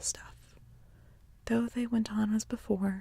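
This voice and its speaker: A woman is speaking. Her pace is fairly slow. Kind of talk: ASMR audiobook story reading. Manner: whispered, soft-spoken.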